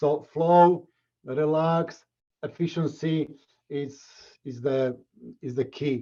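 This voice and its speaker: In a Slovak accent, a man with a fairly high, dark and mellow voice speaks very slowly with fairly even intonation. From Slovakia. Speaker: martial arts instructor. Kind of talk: interview. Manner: halting.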